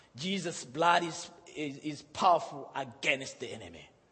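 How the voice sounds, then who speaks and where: Audible room echo and noticeable background noise fill the recording. Through it, a man speaks at a fairly slow pace with lively intonation. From Zimbabwe and Malawi. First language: Shona / Chichewa. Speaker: pastor. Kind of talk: sermon. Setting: church.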